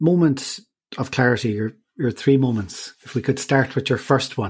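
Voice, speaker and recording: A somewhat breathy male voice of medium pitch, with an Irish accent and ordinary pitch variation. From west of Ireland. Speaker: podcast host. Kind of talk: casual interview.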